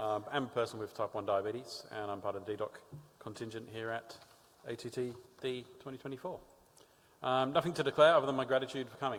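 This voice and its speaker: Medium-pitched male voice in an Australian accent, with fairly even intonation at a fairly quick pace. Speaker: diabetes advocate. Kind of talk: conference talk.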